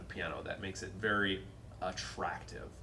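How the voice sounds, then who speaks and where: A man with an American accent speaks at a fairly quick pace. There is noticeable background noise and audible room echo. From North Dakota, Fargo. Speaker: pianist and piano teacher. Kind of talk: casual chat.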